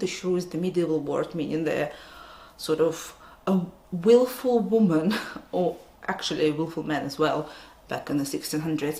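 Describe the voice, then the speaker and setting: A woman talks with lively intonation at a moderate pace, and noticeable background noise is audible. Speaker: book reviewer. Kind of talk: casual talk to camera.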